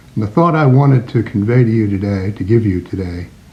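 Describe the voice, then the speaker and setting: There is noticeable background noise as a man talks at a medium pitch with ordinary pitch variation. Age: 70s. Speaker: congregation elder. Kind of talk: recorded words of advice.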